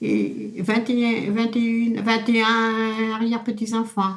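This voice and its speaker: A woman speaks very slowly with a fairly high pitch, a somewhat breathy voice and a monotone, flat intonation. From France, Loire-Atlantique (Pays de Retz). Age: 80s+. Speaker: elderly local resident. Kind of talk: oral history interview. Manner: halting, repetitive.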